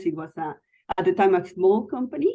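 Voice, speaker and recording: With a non-native accent, a woman speaks at a fairly quick pace in a dark, mellow tone. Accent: foreign. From Mexico City. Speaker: IT executive. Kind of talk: interview.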